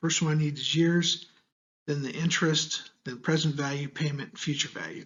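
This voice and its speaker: A man's fairly high, somewhat breathy voice with an American accent at a fairly quick pace. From United States. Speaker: university lecturer. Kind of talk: tutorial. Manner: casual, conversational.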